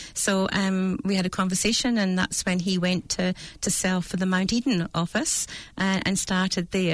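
In a Scottish accent, a woman speaks at a fairly slow pace against a quiet background. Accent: Scottish, noticeable. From Scotland, Dundee. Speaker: real estate agent and manager. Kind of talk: casual interview chat. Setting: studio.

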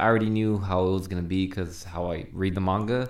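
A man at a very deep, low pitch, speaking at a fairly quick pace. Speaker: podcast co-host. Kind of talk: casual chat.

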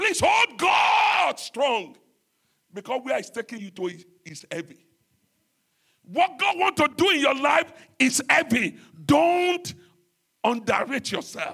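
A man's raised, projected voice at an extremely high pitch, bright and sharp in tone, with very wide pitch swings, a very slow pace and long, frequent pauses. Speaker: pastor. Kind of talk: sermon. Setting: church.

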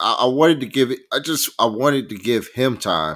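An American-accented man talks in an animated tone with vocal fry. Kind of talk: casual sports chat. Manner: animated, excitable.

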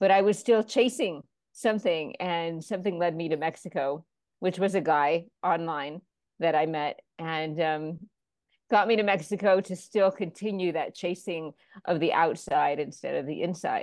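A woman in a plain, everyday voice speaks at a fairly low pitch and moderate pace, with ordinary pitch variation, against a quiet background. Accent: American. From Florida, US. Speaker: author. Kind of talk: interview.

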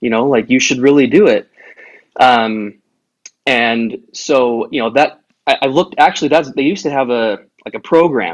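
An unremarkable speaking voice from a man with an American accent, medium in pitch with ordinary pitch variation, at a moderate pace. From Utah, US. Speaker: bagpiper. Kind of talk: casual chat.

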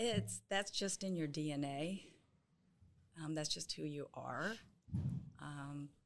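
A woman's very deep, low voice, lively in intonation, at a fairly slow pace. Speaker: softball head coach. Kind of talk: casual interview chat.

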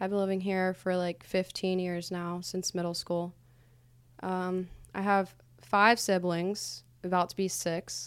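A woman with an American accent and a plain, everyday voice speaks at a medium pitch and a fairly slow pace with fairly even intonation, on a very clean recording with a silent background. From US Midwest, Ohio / New York. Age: 20s. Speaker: podcast producer, friend of hosts. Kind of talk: personal interview, casual.

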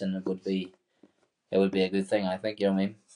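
A man with a Northern Irish accent speaks at a fairly low pitch. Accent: Northern Irish (Tyrone). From Ireland, County Tyrone. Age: 20s. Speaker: professional MMA fighter. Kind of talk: casual interview.

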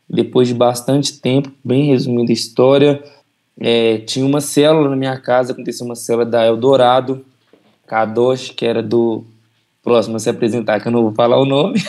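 Speaking at a fairly quick pace, a man has a dark, mellow tone, a medium pitch and fairly even intonation. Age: 20s. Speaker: church member. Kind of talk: testimony.

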